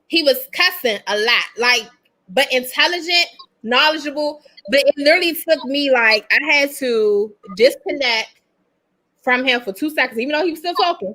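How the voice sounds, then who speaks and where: A woman's high-pitched, raised, projected voice with lively intonation at a moderate pace. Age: 40s. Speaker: podcast co-host. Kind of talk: casual chat. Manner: animated.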